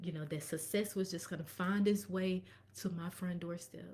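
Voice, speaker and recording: Her somewhat breathy voice marks a woman speaking at a fairly low pitch. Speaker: tax professional and bookkeeper. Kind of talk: live stream business talk. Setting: live stream. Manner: fast.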